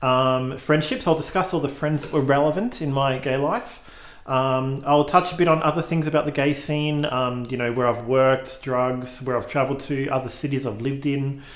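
Amid noticeable background noise, a man with a fairly high pitch speaks at a moderate pace with fairly even intonation. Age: 40s. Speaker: podcast host. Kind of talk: solo monologue. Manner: hesitant, many fillers.

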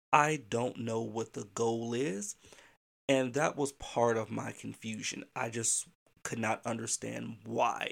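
A man's medium-pitched voice at a very slow pace with fairly even intonation. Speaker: podcast host for educators, school administrator. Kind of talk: casual solo podcast monologue.

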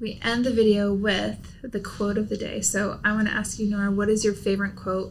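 A woman with an American accent talks at a fairly quick pace, with hardly any pauses. Her voice is somewhat breathy and her intonation is flat and monotone. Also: medium pitch for a woman. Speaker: YouTuber. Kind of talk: casual chat.

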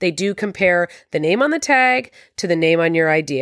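In a Canadian accent, a woman with a plain, everyday voice and a fairly low pitch speaks at a moderate pace with lively intonation, in a very clean recording with a silent background. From Canada. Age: 40s. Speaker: podcast host, interior designer. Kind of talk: solo podcast monologue.

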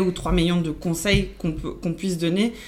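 A woman's fairly low voice with fairly even intonation, at a fairly slow pace, amid audible room echo. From Belgium, born in Argentina. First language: Spanish (speaking French). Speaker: account manager. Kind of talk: casual interview.

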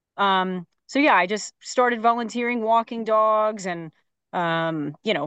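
A woman with an unremarkable speaking voice talks at a fairly high pitch. The sound is dry and close with no echo, over a quiet background. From Phoenix, Arizona. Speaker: animal rescue transport director. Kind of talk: interview.

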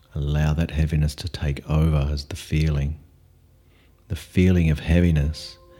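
With music in the background, a man speaks in a calm tone at a very deep, low pitch with monotone, flat intonation. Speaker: meditation teacher. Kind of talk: guided meditation. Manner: slow, calm, soft-spoken, with long pauses.

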